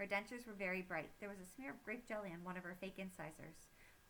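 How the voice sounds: In a natural reading voice, the speaker lets pitch rise and fall in an ordinary way.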